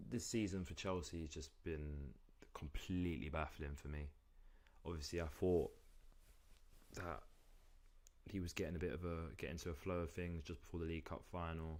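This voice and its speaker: With a London accent, a man speaks at a moderate pace in a very deep, low voice, his intonation fairly even and broken by long, frequent pauses. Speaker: football streamer. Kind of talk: live watchalong commentary. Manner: casual, conversational.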